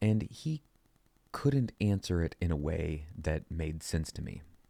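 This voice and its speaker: The voice is quiet, with a dark, mellow tone. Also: man. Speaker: podcast host. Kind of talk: casual monologue. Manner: talking quietly; halting, repeats words.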